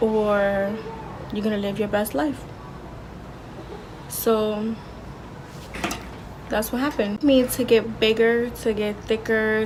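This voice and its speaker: A soft-spoken woman, fairly high in pitch, at a fairly slow pace with long, frequent pauses and noticeable background noise. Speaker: vlogger. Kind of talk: casual monologue.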